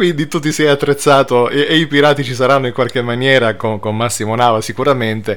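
Speaking very fast with hardly any pauses, a man keeps to a medium pitch. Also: ordinary pitch variation. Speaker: radio host. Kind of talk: casual chat. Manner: animated.

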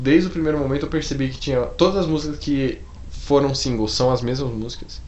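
Amid noticeable background noise and audible room echo, a man speaks fairly quickly at a fairly high pitch with ordinary pitch variation. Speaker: podcast co-host. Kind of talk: casual chat. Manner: animated.

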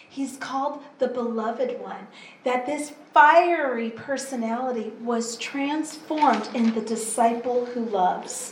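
Very slow and high-pitched, a woman talks with fairly even intonation and big swings in loudness, amid noticeable background noise and audible room echo. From US, Pacific Northwest. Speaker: interpreter. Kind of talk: sermon. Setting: church.

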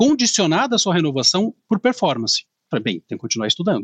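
A man's very fast speech with very wide pitch swings, in a dry, close sound with no echo. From Brazil, northern Paraná (Maringá). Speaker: lawyer. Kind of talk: interview.

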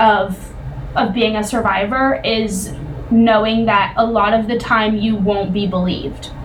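A woman with a fairly high voice talks at a very slow pace, with audible room echo and noticeable background noise. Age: 20s. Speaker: podcast co-host for a survivor-support nonprofit. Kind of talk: casual educational discussion.

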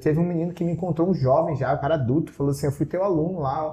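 Very fast, a man talks in a dark, mellow tone with fairly high pitch. His intonation stays fairly even. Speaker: language school owner. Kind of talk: casual interview.

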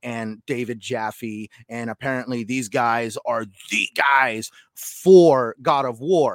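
A man talks at a medium pitch with ordinary pitch variation. It is a plain, everyday voice. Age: 30s. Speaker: gaming podcast co-host. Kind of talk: casual chat.

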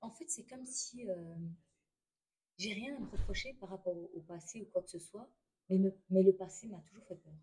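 A woman with a dark, mellow, somewhat breathy tone and medium pitch talks at a moderate pace, using ordinary pitch variation, big swings in loudness and long, frequent pauses. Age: 30s. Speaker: stay-at-home mother, trained care assistant. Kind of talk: testimony. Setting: restaurant during a brunch. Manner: quiet, hesitant.

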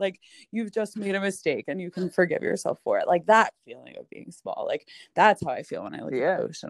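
A woman with a New York accent, fairly quick in pace, with big swings in loudness. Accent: Staten Island, New York. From Staten Island, New York. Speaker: podcast guest, chronic illness writer. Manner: fast talker; casual, heavy use of "like".

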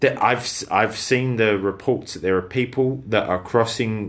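British accent, man, medium pitch, ordinary pitch variation, moderate pace. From Britain. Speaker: podcast co-host. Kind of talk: casual chat.

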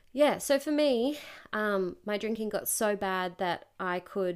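In a very clean recording with a silent background, a woman speaks at a medium pitch with an Australian accent. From Australia, Newcastle NSW. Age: 20s. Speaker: podcast guest. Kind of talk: casual chat. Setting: host's home.

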